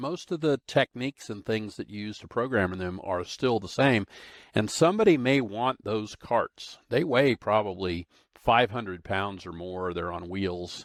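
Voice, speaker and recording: A man with an American accent has a plain, everyday voice, fairly low in pitch, with lively intonation, big swings in loudness and a moderate pace. The sound is dry and close with no echo, on a very clean recording with a silent background. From Arizona. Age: 60s. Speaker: industrial automation consultant and trainer. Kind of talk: podcast monologue. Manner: casual, conversational.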